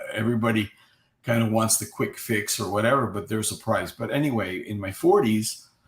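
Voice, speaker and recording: A man talks at a fairly quick pace in a medium pitch, sounding somewhat breathy. His intonation is monotone and flat. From Cuba. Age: 60s. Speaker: guest sharing health recovery story. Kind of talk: interview testimony. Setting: live online video chat.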